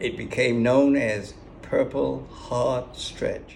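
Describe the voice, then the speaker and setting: Speaking very slowly with an American accent, a man uses ordinary pitch variation. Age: 80s+. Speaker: war veteran. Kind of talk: personal war memoir.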